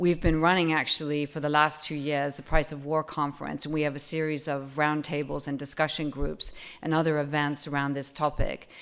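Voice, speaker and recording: A woman with an American accent speaks in a very deep, low voice, her intonation monotone and flat, with hardly any pauses. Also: fairly quick pace. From United States. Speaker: foundation trustee. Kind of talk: opening remarks. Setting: conference stage with audience. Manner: hesitant, with fillers.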